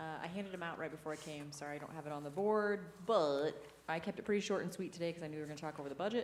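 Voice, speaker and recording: Audible room echo surrounds a woman with a very deep, low pitch. She speaks very fast with ordinary pitch variation. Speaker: parks and recreation director. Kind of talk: board meeting report. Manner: loud.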